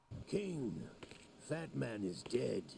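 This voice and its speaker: A man's put-on, raspy character voice, fairly low with very wide pitch swings, over clear background noise. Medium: video game. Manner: cold, clipped.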